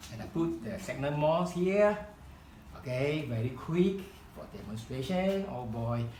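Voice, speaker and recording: A man with a Chinese accent speaks at a fairly high pitch, with lively intonation and big swings in loudness. Noticeable background noise and audible room echo fill the recording. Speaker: hobby craft instructor. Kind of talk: tutorial demonstration. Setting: live demonstration event. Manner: halting.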